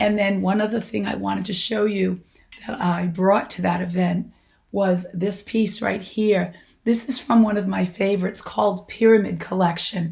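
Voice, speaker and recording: A somewhat breathy woman's voice at a medium pitch. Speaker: vintage fashion stylist. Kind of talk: casual talk to camera. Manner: slow.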